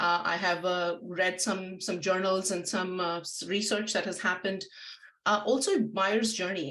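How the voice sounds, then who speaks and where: A woman speaks with an Indian accent. Her pitch is medium. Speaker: marketing agency founder and webinar presenter. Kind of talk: webinar presentation. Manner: fast.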